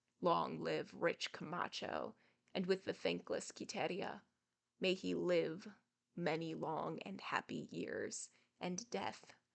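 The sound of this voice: In a put-on character voice, the speaker sounds shaky and hoarse at a fairly slow pace.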